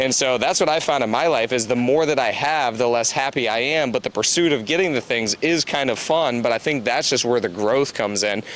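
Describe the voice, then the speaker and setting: A man talks at a fairly quick pace with hardly any pauses. His medium pitch shows ordinary variation, and his loudness stays very even. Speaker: real estate investor and podcast host. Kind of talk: casual chat. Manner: fast.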